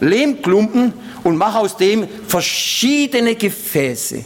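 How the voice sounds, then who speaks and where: Noticeable background noise sits behind a man with a high pitch. His tone is animated, with ordinary pitch variation. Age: old. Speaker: preacher and missionary. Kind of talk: sermon. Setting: church service with congregation.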